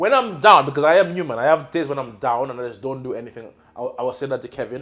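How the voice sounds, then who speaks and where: A man's animated, very fast speech at a fairly high pitch, with ordinary pitch variation and big swings in loudness. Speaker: podcast host and property mentor. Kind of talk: casual interview. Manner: loud, high-energy.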